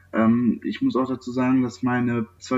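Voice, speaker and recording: A man's medium-pitched voice. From western Germany, Sauerland area (North Rhine-Westphalia). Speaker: nursing trainee. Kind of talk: interview. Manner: hesitant, many filler sounds.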